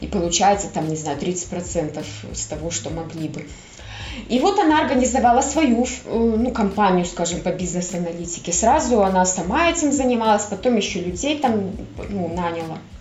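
A woman with a medium pitch and lively intonation speaks at a moderate pace over noticeable background noise. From Belarus (Minsk). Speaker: astrologer and tarot reader. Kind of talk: casual interview chat.

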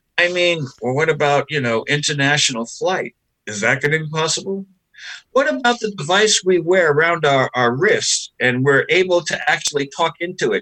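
A man with an unremarkable speaking voice talks at a moderate pace in a fairly high pitch, his intonation lively. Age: 60s. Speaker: exorcist and bishop. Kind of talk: interview conversation.

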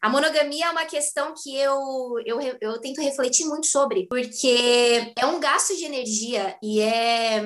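Her voice is high, with ordinary pitch variation, as the woman speaks at a fairly slow pace with hardly any pauses. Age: 20s. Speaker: actress and dance teacher. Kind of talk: casual chat.

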